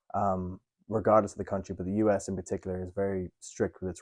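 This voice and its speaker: Over a quiet background, a man with a very deep, low pitch talks at a very fast pace in a monotone, flat intonation, with a dry, close sound and no echo. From Ireland. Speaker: international student. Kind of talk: documentary interview.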